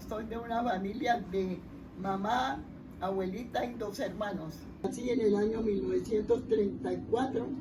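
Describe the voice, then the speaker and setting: Over noticeable background noise and audible room echo, a woman talks at a fairly slow pace, her fairly high pitch showing ordinary pitch variation. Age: 80s+. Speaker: elderly interviewee recounting history. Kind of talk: interview testimony.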